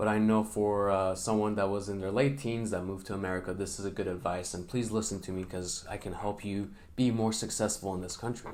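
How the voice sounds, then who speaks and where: Speaking at a fairly quick pace with hardly any pauses, a man delivers his words in a fairly low, monotone, flat voice, with audible room echo. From Middle East. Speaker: vlogger. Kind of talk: unscripted vlog advice. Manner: hesitant, many fillers.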